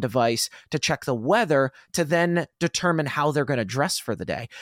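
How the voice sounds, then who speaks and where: Captured in a very clean recording with a silent background, a plain, everyday voice moves at a moderate pace with ordinary pitch variation and a dry, close sound with no echo. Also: man. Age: 30s. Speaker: podcast host. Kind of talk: casual interview chat.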